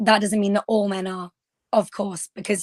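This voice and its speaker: A woman with a British accent and monotone, flat intonation. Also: dry, close sound with no echo, very clean recording, silent background. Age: 20s. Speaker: podcast panel guest. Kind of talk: panel discussion.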